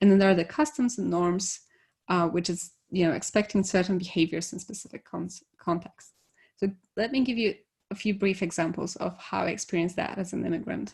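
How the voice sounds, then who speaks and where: A somewhat breathy woman's voice at medium pitch, fairly quick pace and ordinary pitch variation, over a quiet background. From Poland. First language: Polish. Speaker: conference speaker, devops engineer. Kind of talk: conference talk.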